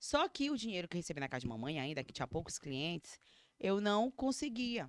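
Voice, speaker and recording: A woman talks in an animated tone at a fairly quick pace, her pitch swinging very widely. The recording is very clean with a silent background and a dry, close sound with no echo. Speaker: beauty professional, eyebrow designer and micropigmentation artist. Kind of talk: casual personal storytelling. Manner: fast.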